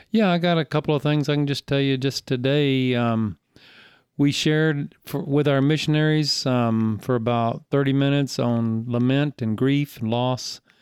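An American accent marks this man's fairly high-pitched voice, with ordinary pitch variation and very even loudness. He talks at a moderate pace against a quiet background. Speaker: church elder and volunteer. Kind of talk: casual interview chat.

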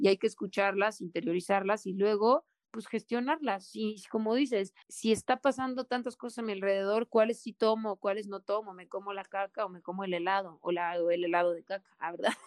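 The speaker has a Mexican accent and talks at a fairly quick pace with hardly any pauses. Loudness swings a lot, over a quiet background. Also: woman, medium pitch for a woman, ordinary pitch variation, dry, close sound with no echo. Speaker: podcast co-host. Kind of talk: casual chat. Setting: remote call, in the mountains of Puebla.

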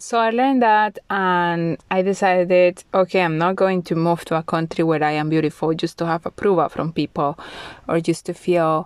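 A woman with a Spanish accent speaks at fairly low pitch and a moderate pace, with ordinary pitch variation. The recording is very clean with a silent background, dry and close with no echo. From Colombia. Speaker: podcast host. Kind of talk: solo monologue podcast.

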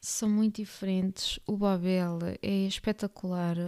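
A woman with a European Portuguese accent speaks in a dark, mellow tone and monotone, flat intonation, captured in a very clean recording with a silent background and a dry, close sound with no echo. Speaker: book podcast host. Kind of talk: casual monologue.

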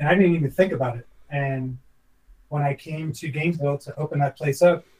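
Fairly high male voice, somewhat breathy, with a dark, mellow tone, ordinary pitch variation and a moderate pace. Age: 40s. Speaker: former professional chef. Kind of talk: casual interview chat.

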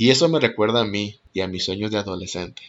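With lively intonation, a plain, everyday voice proceeds at a moderate pace. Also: man. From Mexico. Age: 30s. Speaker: podcast host, actor and art teacher. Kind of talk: monologue introducing podcast.

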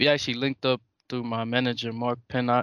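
A man with an American accent speaks at a medium pitch and a moderate pace. The background is quiet. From New York (Brooklyn). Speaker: musician. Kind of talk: interview.

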